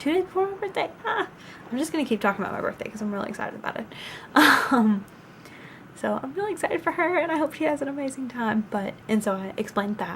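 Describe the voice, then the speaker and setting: A high-pitched woman with a Southern US accent, very fast and full of very wide pitch swings, over noticeable background noise. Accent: Southern US twang. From US South. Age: 20s. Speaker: vlogger, college student. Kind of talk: casual vlog storytelling. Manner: chatty, many filler ums.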